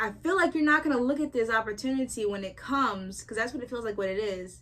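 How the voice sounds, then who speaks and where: This woman talks at a very fast pace with a fairly high pitch. Her tone is animated and her intonation lively. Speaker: tarot reader. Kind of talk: tarot reading monologue.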